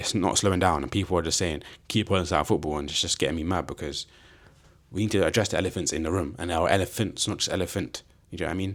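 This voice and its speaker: On a very clean recording with a silent background, a man speaks with ordinary pitch variation. His accent is a London accent. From London, England. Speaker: football podcast host. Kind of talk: casual solo podcast chat. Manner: animated.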